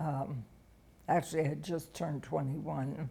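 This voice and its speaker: In an American accent, a woman speaks with a very deep, low pitch, a dark, mellow tone and vocal fry. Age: 80s+. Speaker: interviewee telling life story. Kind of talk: oral history interview. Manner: halting.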